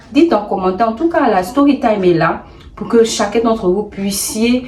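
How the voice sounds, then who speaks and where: A woman with a Gabonese accent speaks fairly slowly in a fairly high pitch with lively intonation. Noticeable background noise is present. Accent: Gabonese accent, put on deliberately here. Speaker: YouTuber, storyteller. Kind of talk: storytime advice vlog. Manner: animated, emphatic.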